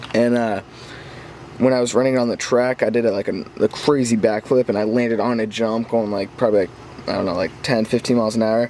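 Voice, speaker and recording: At a fairly quick pace, a man with a medium pitch keeps his intonation fairly even over noticeable background noise. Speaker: RC car hobbyist vlogger. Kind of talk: casual update video. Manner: halting, stumbles over words.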